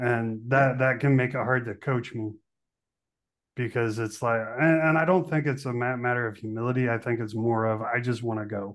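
A man speaks at a medium pitch with an unremarkable speaking voice. His intonation stays fairly even, and his pace is moderate. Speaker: podcast host. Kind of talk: podcast interview with scripted intro and ad.

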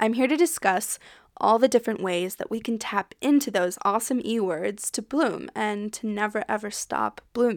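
Recorded very cleanly over a silent background, a woman with an American accent speaks at a moderate pace in a fairly high pitch with ordinary pitch variation. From United States. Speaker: podcast host. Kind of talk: solo podcast introduction, casual. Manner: enthusiastic, animated.

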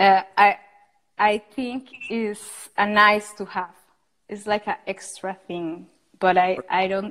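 Speaking in a Spanish accent, a woman uses a medium pitch and fairly even intonation. Her pace is very slow, with long, frequent pauses and big swings in loudness. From Costa Rica. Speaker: architect and entrepreneur. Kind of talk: interview.

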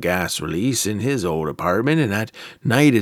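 Someone reads aloud in a natural voice.

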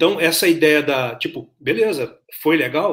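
The man's voice sits at a fairly high pitch. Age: 40s. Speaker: podcast host. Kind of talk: interview. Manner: halting.

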